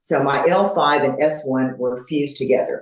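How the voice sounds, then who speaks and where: A woman speaks with a Texan accent. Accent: Texan American English. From Texas, Houston. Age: 70s. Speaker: fitness competitor. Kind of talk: interview. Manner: halting, many fillers.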